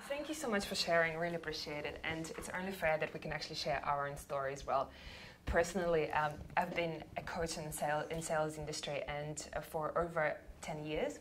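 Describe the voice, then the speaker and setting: A woman talks at a fairly quick pace in a very deep, low voice with fairly even intonation. Audible room echo and noticeable background noise are present. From Russia. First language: Russian. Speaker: sales coach. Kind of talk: workshop talk.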